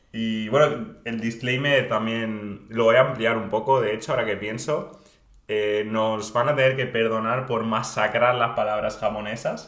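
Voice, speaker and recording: Speaking at a fairly slow pace, a man keeps a medium pitch and a monotone, flat intonation. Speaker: podcast co-host. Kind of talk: casual chat.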